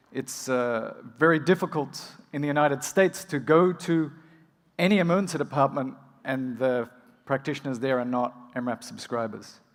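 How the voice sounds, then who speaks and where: With an Australian accent, a man speaks using ordinary pitch variation. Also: fairly high pitch for a man. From rural Australia. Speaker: emergency physician and medical educator. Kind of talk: conference keynote. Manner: fast.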